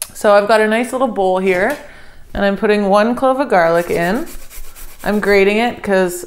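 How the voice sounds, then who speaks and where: The woman's pitch varies in an ordinary way. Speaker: home cook host. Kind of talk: tutorial. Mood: relaxed, friendly. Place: kitchen.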